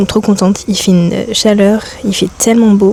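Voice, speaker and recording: Noticeable background noise sits behind a woman speaking at a medium pitch. Her pace is very fast and her intonation monotone and flat. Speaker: lifestyle vlogger. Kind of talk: casual vlog talk. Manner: hesitant, many filler sounds.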